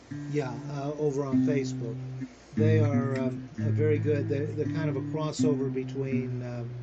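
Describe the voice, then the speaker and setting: A man at a moderate pace with monotone, flat intonation, amid audible room echo and music in the background. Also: medium pitch for a man. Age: 60s. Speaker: podcast creator. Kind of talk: interview. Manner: halting.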